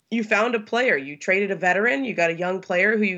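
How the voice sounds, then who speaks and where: A woman with an American accent and a normal speaking voice talks at a fairly quick pace with ordinary pitch variation over a quiet background. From Los Angeles, California. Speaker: sports journalist. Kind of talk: casual interview. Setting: remote from Southern California.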